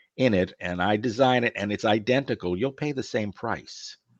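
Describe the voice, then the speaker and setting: Against a quiet background, a man uses an ordinary speaking voice, fairly low in pitch with ordinary pitch variation. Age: 60s. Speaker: closet business owner. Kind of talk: podcast interview. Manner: conversational.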